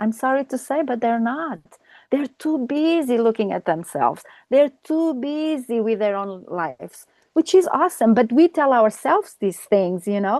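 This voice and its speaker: A woman with a high pitch speaks at a moderate pace, her pitch swinging very widely. The background is quiet, and the sound is dry and close with no echo. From Australia. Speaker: life coach. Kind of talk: interview conversation.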